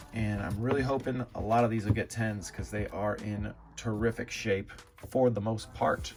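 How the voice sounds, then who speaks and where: With noticeable background noise behind him, a man speaks at a moderate pace in a fairly low pitch with fairly even intonation. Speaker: trading card collector YouTuber. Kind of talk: casual vlog commentary. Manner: hesitant, many filler words; speaking quieter for sleeping baby.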